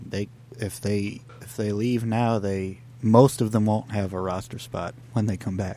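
Over noticeable background noise, a man speaks fairly slowly at a fairly low pitch with fairly even intonation. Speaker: sports podcast co-host. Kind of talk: casual sports banter.

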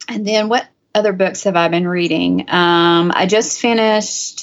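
A woman with an ordinary speaking voice talks at a medium pitch and a fairly slow pace with ordinary pitch variation. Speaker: author. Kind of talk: interview.

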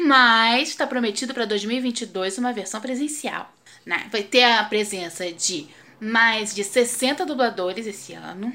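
The woman's tone is bright and sharp, and she speaks at a fairly slow pace. The recording is very clean, with a silent background. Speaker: professional voice actress. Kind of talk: casual video segment. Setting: video recording. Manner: casual.

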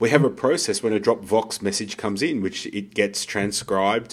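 A man talks at a moderate pace with a fairly low pitch. He has a plain, everyday voice. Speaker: podcast co-host and business coach. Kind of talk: casual conversational podcast chat.

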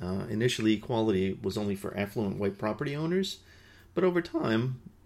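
This man has a plain, everyday voice, medium in pitch and fairly quick in pace. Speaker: podcast host and peace educator. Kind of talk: solo educational podcast talk. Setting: indoor room with nearby highway traffic noise.

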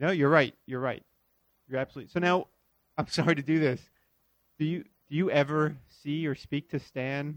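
A man with an American accent talks at a fairly quick pace with long, frequent pauses, a fairly high pitch and fairly even intonation, the sound dry and close with no echo. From Florida. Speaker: cartoonist and podcast host. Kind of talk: casual interview. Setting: hotel room.

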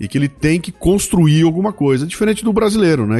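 A man talks at a fairly quick pace over background music. The sound is dry and close, with no echo. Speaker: podcaster and speaker. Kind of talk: casual chat.

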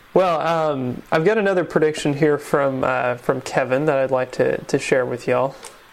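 A man at a moderate pace with hardly any pauses, fairly high in pitch with ordinary variation, over noticeable background noise. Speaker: podcast host. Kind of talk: casual podcast chat. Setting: home.

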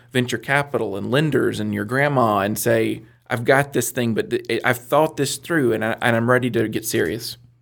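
On a very clean recording with a silent background, a man with an ordinary speaking voice and a medium pitch talks at a fairly quick pace with ordinary pitch variation. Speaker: business center director and mentor. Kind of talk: casual chat, joking interview. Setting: studio.

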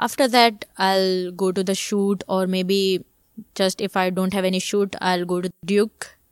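A woman speaks at a fairly slow pace in a flat monotone, recorded dry and close with no echo. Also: medium pitch for a woman. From India, Surat (Gujarat). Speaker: photographer and creative director. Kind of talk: interview conversation. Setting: in person recording in Mumbai. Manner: hesitant, many fillers.

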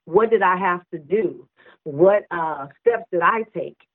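Speaking at a moderate pace, a woman uses a plain, everyday voice at a medium pitch with ordinary pitch variation. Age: 50s. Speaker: minister and author. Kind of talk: interview.

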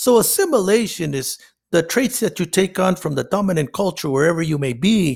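A man with a Spanish accent speaks with lively intonation. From northern Mexico; Nogales, Sonora. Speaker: counselor. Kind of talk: interview.

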